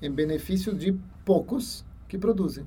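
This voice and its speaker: Audible room echo surrounds a man's voice. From Ecuador. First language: Spanish (speaking Portuguese). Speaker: university lecturer. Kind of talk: interview.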